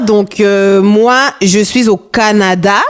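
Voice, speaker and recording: With a Congolese accent, a woman speaks at a fairly high pitch. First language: Lingala (speaking French). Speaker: podcast host. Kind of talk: casual podcast monologue. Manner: animated, upbeat.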